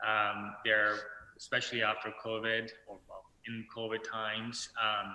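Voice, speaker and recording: Speaking at a fairly slow pace, a man uses a fairly low pitch and a monotone, flat delivery. His tone is bright and sharp. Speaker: litigation lawyer. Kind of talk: panel discussion. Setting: video call. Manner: halting, many fillers. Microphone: too quiet.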